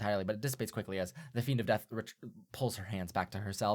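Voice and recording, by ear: Someone reads text aloud. The delivery is natural.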